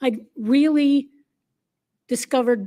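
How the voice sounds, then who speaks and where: Pitched high, a woman's voice has a dark, mellow tone and ordinary pitch variation. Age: 60s. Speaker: LGBTQ activist panelist. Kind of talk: panel discussion.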